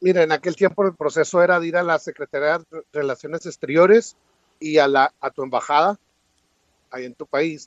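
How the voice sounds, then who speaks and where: This man has a plain, everyday voice and a fairly high pitch with ordinary pitch variation. He talks at a fairly quick pace, with big swings in loudness. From Mexico (Chihuahua). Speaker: immigration commentator. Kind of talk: interview.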